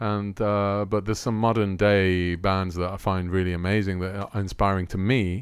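A man speaks at a moderate pace with hardly any pauses. His fairly low voice stays monotone, with flat intonation. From Rome, Italy. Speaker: musician. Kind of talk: interview.

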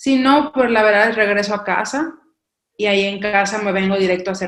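A woman at a mid-range pitch, her tone rising and falling normally. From Mexico, coast. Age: 30s. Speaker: missionary. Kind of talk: casual interview chat.

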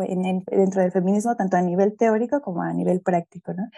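Here a woman speaks in a Mexico City accent. Her tone is dark and mellow, at a medium pitch. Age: young. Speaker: pedagogue and ecofeminist activist. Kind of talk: interview.

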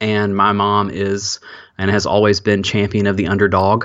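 A man speaks with an Alabama accent. His pitch is fairly low. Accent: Southern US (Alabama). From US South, Alabama. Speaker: former pastor, podcaster and author. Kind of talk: interview, personal testimony. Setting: remote call, hosts cannot see him.

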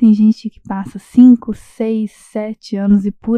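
Very slow speech from a woman, fairly high-pitched, somewhat breathy, with a dark, mellow tone. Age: 20s. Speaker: architect. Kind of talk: recorded voice message.

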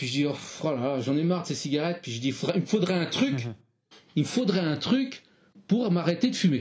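A man speaks in a somewhat breathy voice. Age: 60s. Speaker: retired primary school teacher. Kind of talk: interview.

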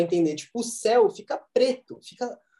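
This voice has a dark, mellow tone, a moderate pace, and very wide swings in pitch. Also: man. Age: 20s. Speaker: university student and startup founder. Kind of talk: casual chat.

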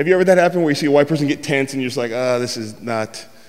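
There is noticeable background noise behind this man. His fairly high pitch shows ordinary pitch variation. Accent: American. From San Francisco, US West Coast. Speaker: comedian. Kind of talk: stand-up storytelling. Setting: stage with audience.

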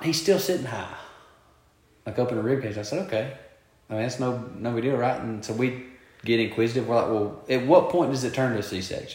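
A man's medium-pitched voice at a very fast pace, lively in intonation, with audible room echo. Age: 20s. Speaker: podcast co-host. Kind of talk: casual chat.

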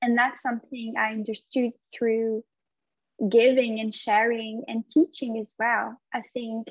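A woman with a fairly high pitch talks in a French accent, her intonation monotone and flat. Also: fairly slow pace, dry, close sound with no echo. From France. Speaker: yoga instructor. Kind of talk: casual interview conversation.

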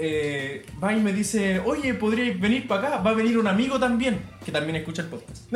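A high-pitched man with a Chilean accent speaks fairly quickly and with lively intonation, amid audible room echo and noticeable background noise. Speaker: tattoo artist. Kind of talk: casual chat.

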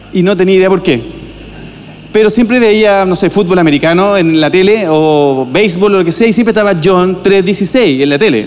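There is audible room echo and noticeable background noise as a man talks at a high pitch with ordinary pitch variation. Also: moderate pace, very even loudness. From Chile, Viña del Mar. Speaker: pastor. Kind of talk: sermon. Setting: church.

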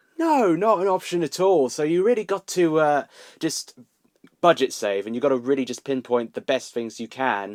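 In a southern English accent, a man speaks at a moderate pace and a fairly high pitch, with very wide pitch swings. The sound is dry and close with no echo, on a very clean recording with a silent background. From southern England, Milton Keynes. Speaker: YouTuber and cosplayer. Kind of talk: casual chat.

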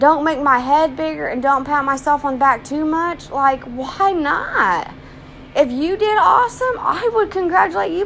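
A high-pitched woman's voice in an animated tone at a moderate pace, with very wide pitch swings, over noticeable background noise. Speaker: vlogger. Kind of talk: casual monologue.

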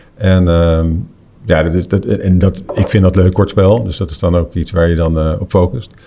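Here a man speaks in a dark, mellow tone. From Netherlands. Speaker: golf tournament director and commentator. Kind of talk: casual chat.

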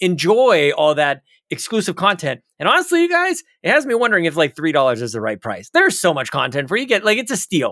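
A raised, projected voice at a very fast pace, with very wide pitch swings, in a dry, close sound with no echo. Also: man, high pitch for a man. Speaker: podcast co-host. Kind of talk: casual chat. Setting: video call.

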